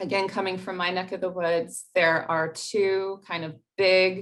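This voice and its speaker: An unremarkable speaking voice, its pace fairly slow. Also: woman. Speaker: grant writing workshop presenter. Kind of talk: workshop presentation.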